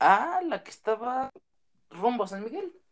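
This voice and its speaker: A man at a moderate pace. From Michoacán, Mexico (small town). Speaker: guest friend. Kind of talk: casual chat.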